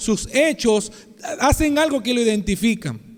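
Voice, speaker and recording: This man's voice sits at an extremely high pitch. He talks at a moderate pace. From Venezuela, Maracaibo (Zulia). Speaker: pastor. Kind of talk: sermon.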